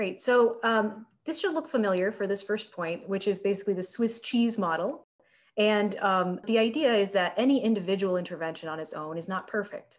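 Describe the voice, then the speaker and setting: With an American accent, a woman speaks at a moderate pace with ordinary pitch variation. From Florida. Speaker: public health researcher; researcher presenting commentary. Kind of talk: presentation. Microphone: video call.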